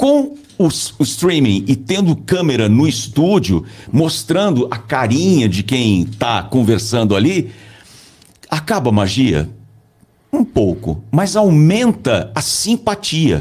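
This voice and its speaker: A man talks at a very slow pace with a medium pitch. His loudness stays very even while his pitch swings very widely. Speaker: voice-over announcer and communication coach. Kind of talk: casual interview chat. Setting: studio.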